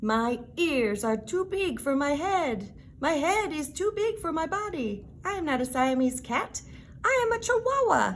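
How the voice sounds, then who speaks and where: A high-pitched put-on character voice swings very widely in pitch at a moderate pace over clear background noise. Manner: playful.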